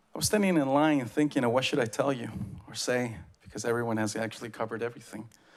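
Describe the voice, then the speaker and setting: A man's medium-pitched voice in an Oaxacan accent, very fast in pace, with ordinary pitch variation. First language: Zapotec. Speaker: public commenter, community arts organization member. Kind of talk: public comment at meeting. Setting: public meeting podium.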